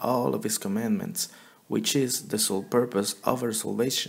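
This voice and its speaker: The man has a strong non-native accent and a medium pitch. He talks at a moderate pace. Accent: thick non-native. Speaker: Bible teacher. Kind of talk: religious teaching.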